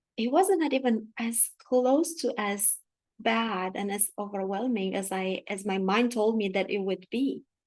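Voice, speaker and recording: A woman speaks in a Romanian accent at a fairly high pitch. Her pace is fairly slow, and her pitch varies in an ordinary way. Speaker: spiritual channeler. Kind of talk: spiritual talk. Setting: livestream on video call. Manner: halting.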